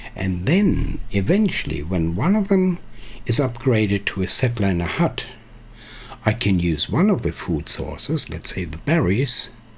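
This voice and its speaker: With a non-native accent, a man speaks in a fairly low pitch that moves in very wide swings. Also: moderate pace. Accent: quirky non-native English. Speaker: game streamer. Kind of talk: live stream gameplay tutorial. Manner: mumbling; halting.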